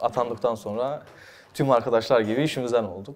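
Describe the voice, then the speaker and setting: A man speaks with a Kurdish accent and ordinary pitch variation. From Mardin, southeastern Turkey. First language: Kurdish (speaking Turkish). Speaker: talk show host and dubbing artist. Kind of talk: interview. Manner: halting with many fillers.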